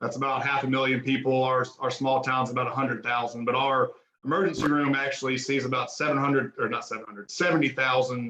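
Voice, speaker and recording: A man with an American accent talks at a very fast pace with hardly any pauses. His medium pitch carries fairly even intonation. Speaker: emergency physician, medical director. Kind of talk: lecture. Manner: casual, informal.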